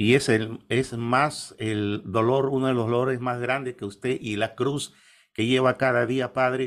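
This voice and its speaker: A man at a medium pitch, speaking fairly slowly in a monotone, flat intonation. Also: quiet background. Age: 50s. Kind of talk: interview. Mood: calm, devout. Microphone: webcam.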